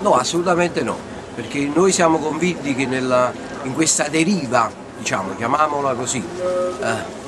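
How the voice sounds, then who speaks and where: Lively intonation from a man with a fairly high pitch, at a moderate pace amid noticeable background noise. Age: 60s. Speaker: activist. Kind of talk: street interview. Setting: outdoors. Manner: halting. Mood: earnest, political. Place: street.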